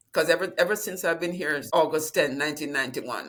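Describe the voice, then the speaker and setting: The speaker has a Jamaican accent. Pitch variation is ordinary. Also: woman. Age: 70s. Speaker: retirement planning client, retired dean. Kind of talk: interview.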